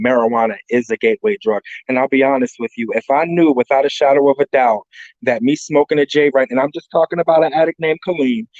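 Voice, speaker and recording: Very fast and lively in intonation, a man speaks with a dry, close sound and no echo. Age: 40s. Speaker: drug addiction counselor, workshop panelist. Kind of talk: workshop presentation. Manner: casual, conversational.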